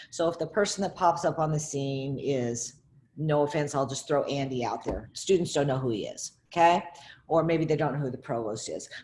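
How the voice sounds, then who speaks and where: A woman talks at a moderate pace in a very deep, low voice. It is somewhat breathy, with ordinary pitch variation. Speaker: faculty member. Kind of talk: presentation.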